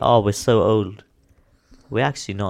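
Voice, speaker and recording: A man's voice with vocal fry. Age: 20s. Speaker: podcast co-host. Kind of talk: casual chat.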